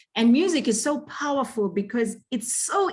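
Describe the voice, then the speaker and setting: A woman with a Zimbabwean accent. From Zimbabwe, Bulawayo. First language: Ndebele. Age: young. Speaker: singer. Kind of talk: interview. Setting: video call.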